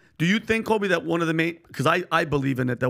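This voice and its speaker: A man with a New York accent talks over a quiet background. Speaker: podcast co-host. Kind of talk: casual chat. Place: studio. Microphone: studio mic.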